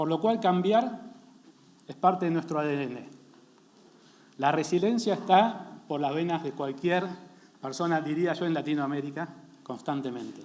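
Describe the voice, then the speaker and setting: Over noticeable background noise, a man with a high pitch speaks at a fairly slow pace with ordinary pitch variation and long, frequent pauses. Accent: Argentine. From Argentina. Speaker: company founder and CEO. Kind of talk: panel presentation.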